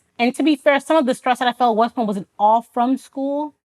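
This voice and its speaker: Recorded very cleanly with a silent background and a dry, close sound with no echo, a woman speaks in a Haitian accent with an animated tone and ordinary pitch variation. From Florida, Haitian immigrant family. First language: Haitian Creole. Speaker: army officer. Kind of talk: testimony interview.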